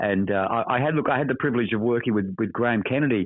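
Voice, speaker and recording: A man with an Australian accent at a very fast pace, fairly low in pitch, with ordinary pitch variation. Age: 70s. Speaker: actor. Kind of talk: interview. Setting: phone call. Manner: halting, repeats words.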